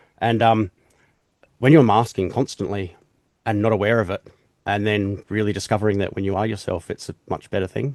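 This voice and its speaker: Over a quiet background, a man with an Australian accent speaks fairly quickly at a fairly low pitch with fairly even intonation, the sound dry and close with no echo. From South Australia. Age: 40s. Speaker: podcast host. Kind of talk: casual interview chat.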